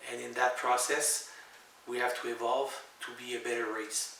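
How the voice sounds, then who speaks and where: A man with a French-Canadian accent at a medium pitch and moderate pace, with audible room echo and noticeable background noise. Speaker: author. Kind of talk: spiritual monologue to camera. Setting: at home. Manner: halting, many fillers.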